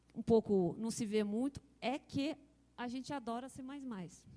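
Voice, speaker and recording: Fairly slow, fairly high-pitched speech from a woman, with ordinary pitch variation. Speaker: software researcher presenting. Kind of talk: conference talk.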